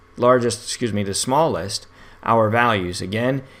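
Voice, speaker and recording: Delivered at a moderate pace, a normal speaking voice carries fairly even intonation. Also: man. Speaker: statistics instructor. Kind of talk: tutorial.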